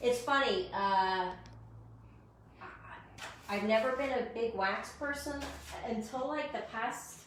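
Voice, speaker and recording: A woman's loud, high voice at a very slow pace, with ordinary pitch variation, long and frequent pauses, and audible room echo. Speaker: furniture painter and shop owner. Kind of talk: live stream tutorial. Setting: live stream.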